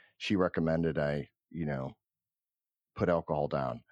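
A man with a Midwestern US accent speaks at a fairly quick pace with fairly even intonation. The sound is dry and close with no echo, over a quiet background. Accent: US Midwest. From Cleveland, Ohio. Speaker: company founder. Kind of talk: interview. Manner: halting.

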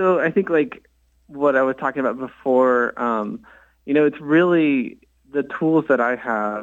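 Speaking at a fairly slow pace with a West Coast accent, a man shows ordinary pitch variation over a quiet background. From US West Coast (Bay Area, California / Portland). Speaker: architect and religious artist. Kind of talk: radio interview. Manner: hesitant, many fillers.

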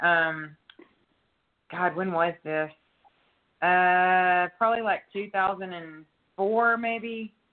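Long, frequent pauses break up a woman's very slow speech, her intonation fairly even. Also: medium pitch for a woman. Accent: Texan. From East Texas (Longview). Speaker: country singer. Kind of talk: casual interview chat.

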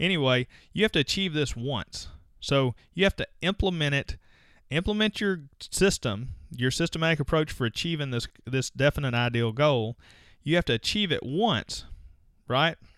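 A man with an American accent speaks at a moderate pace in an unremarkable speaking voice, his pitch fairly high and his intonation lively. The recording is very clean with a silent background, and the sound is dry and close with no echo. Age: 40s. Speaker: podcast host, dentist. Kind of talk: solo podcast monologue. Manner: casual, conversational.

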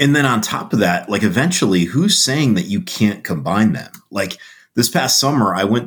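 A man with a plain, everyday voice talks at a moderate pace. His intonation is lively. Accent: American. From Connecticut, US. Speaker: survival instructor. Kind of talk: casual interview.

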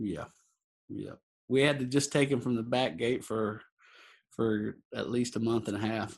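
A man's medium-pitched voice in a Texan accent at a fairly slow pace, with ordinary pitch variation and long, frequent pauses. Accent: Texan American. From Texas panhandle, near Amarillo. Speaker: cowboy and roping event organizer. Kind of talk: interview.

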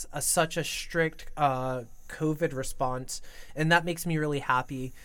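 The voice carries an American accent at a fairly slow pace. The recording is very clean, with a silent background. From New York. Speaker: student podcast host. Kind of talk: casual chat.

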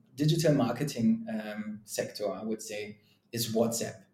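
A man's dark, mellow, somewhat breathy voice at a moderate pace with ordinary pitch variation. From Germany. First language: German. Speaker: sales and marketing leader, drummer. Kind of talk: casual interview. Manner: conversational, many fillers.

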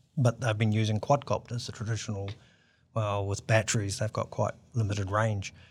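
With a New Zealand accent, a man speaks at a fairly quick pace and fairly low pitch, somewhat breathy and monotone in a flat intonation, on a very clean recording with a silent background. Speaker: aviation engineer and startup founder. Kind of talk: interview.

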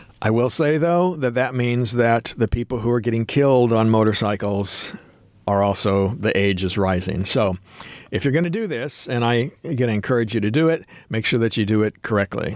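A plain, everyday voice at a moderate pace, with ordinary pitch variation and very even loudness. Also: man, medium pitch for a man. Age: 60s. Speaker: motorcycle YouTuber. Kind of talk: casual interview. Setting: studio.

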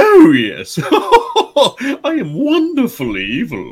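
Using a put-on character voice, a man speaks at a very slow pace. His pitch is extremely high. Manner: gleefully evil.

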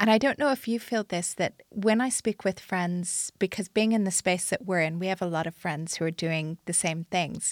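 A woman with a plain, everyday voice speaks at medium pitch and a moderate pace, with ordinary pitch variation and hardly any pauses, in a very clean, dry, close recording with no echo and a silent background. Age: 40s. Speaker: podcast host and entrepreneur. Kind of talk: interview conversation. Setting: recording in London.

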